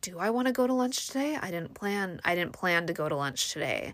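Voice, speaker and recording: In a plain, everyday voice with lively intonation, the speaker keeps a moderate pace on a very clean recording with a silent background. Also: woman. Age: 40s. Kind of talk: casual monologue. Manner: chatty with fillers and laughs.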